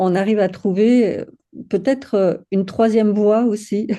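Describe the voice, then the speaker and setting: A woman speaks at a fairly slow pace. Her medium-pitched voice has a dark, mellow tone. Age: 60s. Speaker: women's circle co-facilitator. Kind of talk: casual chat. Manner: halting.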